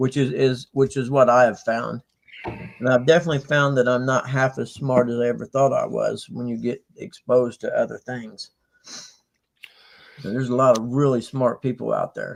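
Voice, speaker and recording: A man at medium pitch and a moderate pace with monotone, flat intonation. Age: 60s. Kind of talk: casual chat.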